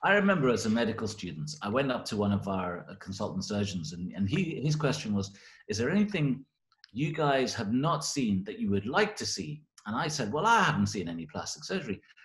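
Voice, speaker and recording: A man's medium-pitched voice with vocal fry, fairly quick pace and very wide pitch swings against a quiet background. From Scotland, Glasgow, after early years in England. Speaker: plastic surgeon. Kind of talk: interview. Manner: halting, many fillers.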